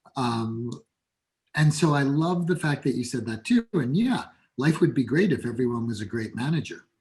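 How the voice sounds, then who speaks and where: A man speaks at a moderate pace with a medium pitch and a somewhat breathy quality. His intonation is lively. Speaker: business coach and CEO. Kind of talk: podcast interview. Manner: animated.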